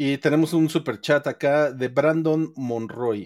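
In an ordinary speaking voice, a man with fairly high pitch speaks at a fairly slow pace with lively intonation. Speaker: podcast host. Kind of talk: casual chat. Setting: live stream.

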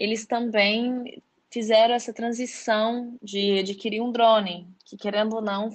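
Speaking slowly-ish, a woman has a normal speaking voice. Her pitch is fairly high and her intonation fairly even. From Brazil, Belo Horizonte (Minas Gerais). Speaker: marketing manager at a drone company. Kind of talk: interview.

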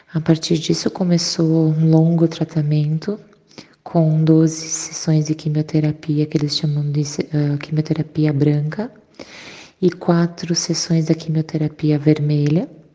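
A woman speaks with a very deep, low pitch in a monotone, flat way. She goes at a fairly slow pace over noticeable background noise. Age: 30s. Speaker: breast cancer survivor. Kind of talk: testimony.

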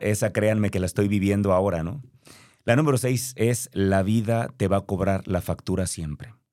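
Speaking at a moderate pace, a man uses a normal speaking voice with a fairly low pitch and ordinary pitch variation on a very clean recording with a silent background. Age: 40s. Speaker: motivational speaker and podcast host. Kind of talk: motivational monologue.

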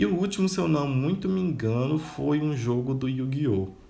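Breathing a little into his words, a man at a medium pitch swings his voice very widely up and down, with audible echo in the room. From Minas Gerais interior, Brazil. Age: 20s. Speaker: podcaster. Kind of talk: personal monologue. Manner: casual, conversational.

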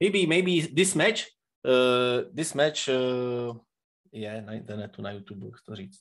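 At a very slow pace, a man with a Czech accent speaks at a medium pitch, using lively intonation and big swings in loudness. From Czech Republic. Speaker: professional wrestler. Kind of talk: interview. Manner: halting.

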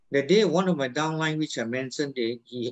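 It is a plain, everyday voice at a moderate pace. The intonation is lively. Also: man. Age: 60s. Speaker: network marketing business leader. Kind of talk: motivational talk.

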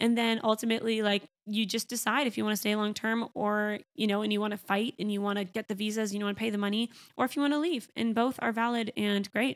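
A woman's fairly high-pitched voice with a Canadian accent, very fast, in a dry, close sound with no echo. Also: very clean recording, silent background. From Canada. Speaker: podcast host. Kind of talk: casual monologue.

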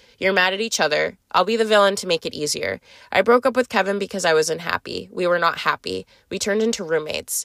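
Very fast speech from a woman at medium pitch, with vocal fry and ordinary pitch variation, in a dry, close recording with no echo that is very clean over a silent background. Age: 20s. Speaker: podcast host. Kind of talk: casual monologue storytelling. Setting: in a car. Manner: scattered, rambling delivery.

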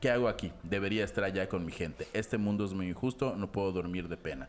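A man with a Mexican accent at a fairly quick pace. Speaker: podcast host. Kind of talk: casual chat.

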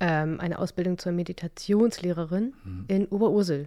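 Recorded very cleanly against a silent background, a woman speaks in a dark, mellow tone with ordinary pitch variation. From northern Germany, Stade (Lower Saxony). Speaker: sound massage therapist. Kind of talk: casual interview.

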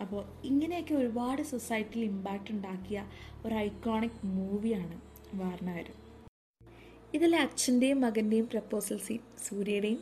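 The voice has an animated tone and is somewhat breathy. Its pitch varies in an ordinary way. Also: woman, fairly high pitch for a woman. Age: 20s. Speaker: podcast host, film reviewer. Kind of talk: film review monologue.

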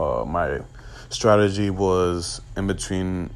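Audible room echo surrounds a man speaking very slowly with an American accent. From New York City. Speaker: trading group founder, podcast host. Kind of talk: casual Q&A monologue. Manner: hesitant, many fillers.

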